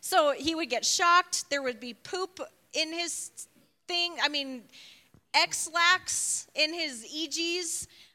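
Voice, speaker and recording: Raising and projecting her voice, a woman speaks at an extremely high pitch with a bright, sharp tone. She goes very slowly, with ordinary pitch variation. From Chicago. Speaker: church leader. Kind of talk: casual chat.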